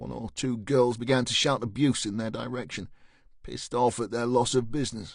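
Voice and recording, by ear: This is reading aloud in a natural voice. The intonation stays fairly even.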